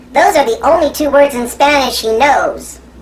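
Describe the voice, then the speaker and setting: In a put-on character voice, the speaker uses a high pitch and a playful tone at a moderate pace. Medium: comedy sketch. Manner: teasing, playful.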